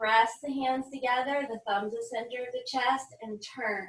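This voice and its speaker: A woman speaks at a fairly slow pace in an energetic tone. Her pitch variation is ordinary. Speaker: yoga instructor. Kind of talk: guided yoga class. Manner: instructional, energetic.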